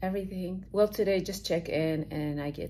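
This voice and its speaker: A woman's voice over light background noise. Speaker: fitness competitor vlogger. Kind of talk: casual vlog chat. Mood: excited, upbeat. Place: home room. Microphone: phone near.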